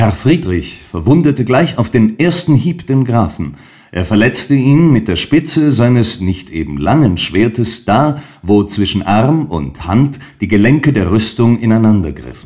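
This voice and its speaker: The pitch swings very widely and vocal fry comes through. The pace is fairly slow. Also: man, medium pitch for a man. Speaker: audiobook narrator. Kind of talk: dramatic narration of a classic story, read aloud. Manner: animated, building intensity, vivid storm-like pacing in the battle scene; formal, measured, literary.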